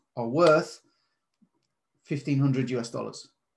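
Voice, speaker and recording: This man's somewhat breathy voice sits at a fairly high pitch and stays monotone, with flat intonation. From Britain. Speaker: trading course presenter. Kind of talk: presentation. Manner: casual.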